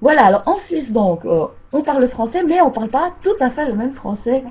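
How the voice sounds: The speaker talks at a fairly quick pace with a Swiss accent.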